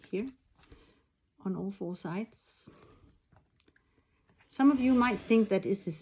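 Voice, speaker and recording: A woman with a non-native accent speaks at medium pitch, with a dark, mellow, somewhat breathy tone and ordinary pitch variation. Her delivery has long, frequent pauses. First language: not English. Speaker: machine embroidery designer. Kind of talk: tutorial. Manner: halting, with frequent fillers.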